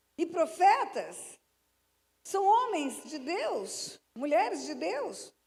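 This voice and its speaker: Extremely high in pitch, a woman speaks at a very slow pace with very wide pitch swings. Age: 70s. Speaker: pastor. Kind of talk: sermon. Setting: church.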